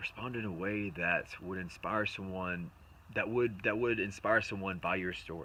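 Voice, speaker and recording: A man with a plain, everyday voice speaks at a fairly low pitch, with ordinary pitch variation. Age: 20s. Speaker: motivational speaker. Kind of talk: motivational talk to camera. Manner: casual, with many fillers and repetitions.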